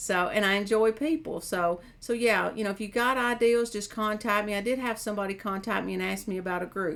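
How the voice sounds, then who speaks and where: A woman with an American accent, medium pitch and ordinary pitch variation, at a fairly quick pace with hardly any pauses. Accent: hillbilly. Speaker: mental health counselor and caregiver. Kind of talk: casual chat.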